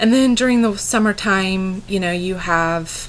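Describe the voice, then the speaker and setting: A woman speaks at a medium pitch with fairly even intonation. Room echo can be heard on the recording. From US Midwest, Kansas. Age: 20s. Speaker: farm-raised young woman introducing herself. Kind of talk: personal introduction, self-presentation. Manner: halting, many fillers.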